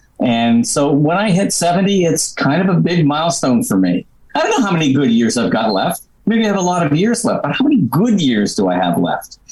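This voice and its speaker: Amid noticeable background noise, a man talks quickly in a high pitch, his pitch swinging very widely while his loudness stays very even. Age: 70s. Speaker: comedy club founder. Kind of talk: casual chat.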